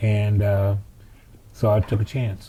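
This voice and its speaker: A man with an American accent, fairly low-pitched and somewhat breathy, with a dark, mellow tone and monotone, flat intonation. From Birmingham, Alabama, US South. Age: 70s. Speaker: civil rights veteran. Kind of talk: interview. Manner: halting.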